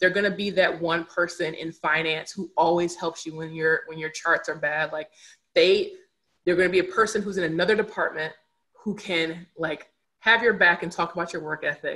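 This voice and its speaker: Bright and sharp in tone, a woman's fairly low voice moves at a moderate pace with fairly even intonation and big swings in loudness. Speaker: diversity and inclusion consultant. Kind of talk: podcast interview.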